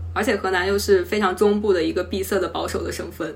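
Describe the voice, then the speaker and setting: A woman talks at a fairly quick pace, her voice carrying audible room echo. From Henan, China. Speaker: carpenter, former civil servant. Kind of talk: interview.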